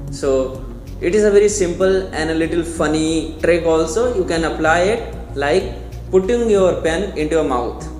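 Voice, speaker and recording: A man is speaking with music in the background. There is audible room echo. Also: moderate pace. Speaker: English pronunciation teacher. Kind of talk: tutorial.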